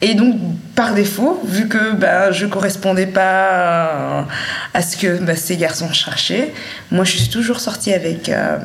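A woman's medium-pitched voice at a very slow pace, with ordinary pitch variation, long, frequent pauses, audible room echo and noticeable background noise. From Great Lakes Africa. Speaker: interviewee. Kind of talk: testimony.

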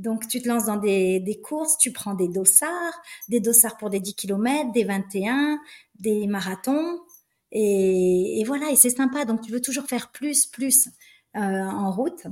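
A woman with a somewhat breathy, fairly high voice speaks at a very slow pace with lively intonation. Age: 50s. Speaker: flight attendant and trail runner. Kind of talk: interview conversation.

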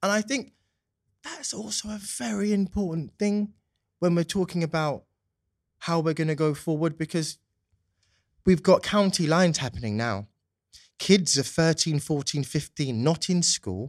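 Pausing long and often, a man with a high pitch speaks at a fairly slow pace. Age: 20s. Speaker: youth justice consultant and policy advisor. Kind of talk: interview. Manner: polished speaking style.

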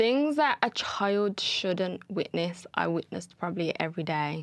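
A woman's plain, everyday voice, medium in pitch, at a fairly slow pace. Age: 20s. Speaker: mother. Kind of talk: casual interview.

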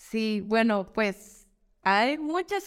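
A woman with a fairly high voice speaks on a very clean recording with a silent background. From Guadalajara, Jalisco, Mexico. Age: 30s. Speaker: influencer and lactation consultant. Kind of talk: casual chat. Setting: podcast studio, video recording.

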